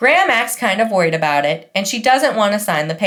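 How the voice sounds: The clip has a natural reading voice whose intonation is lively.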